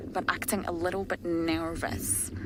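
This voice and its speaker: The speaker uses lively intonation. Noticeable background noise and audible room echo are present. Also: woman. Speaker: safari guide. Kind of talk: live commentary. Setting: outdoors.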